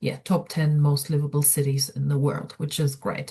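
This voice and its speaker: A dark, mellow, somewhat breathy voice at a moderate pace. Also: woman. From outside New Zealand. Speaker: student experience coordinator. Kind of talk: online information session presentation. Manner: hesitant, many fillers.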